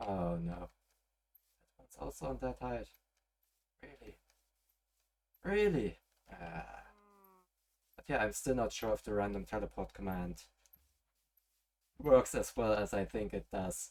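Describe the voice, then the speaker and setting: A man speaks at a fairly slow pace, his loudness swinging widely. He leaves long, frequent pauses. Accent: German. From German-speaking Europe. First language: German. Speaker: gaming streamer. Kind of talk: live gameplay stream. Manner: relaxed; halting.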